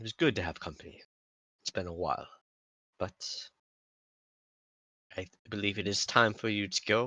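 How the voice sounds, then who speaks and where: Doing a raspy, put-on character voice, a man with fairly low pitch speaks at a moderate pace with long, frequent pauses. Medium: actual play. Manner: courteous, measured.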